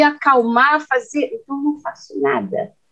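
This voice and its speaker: Speaking fairly slowly, a woman has a high-pitched voice. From Minas Gerais, Brazil. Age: 50s. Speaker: caregiver and youtuber. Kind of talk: interview.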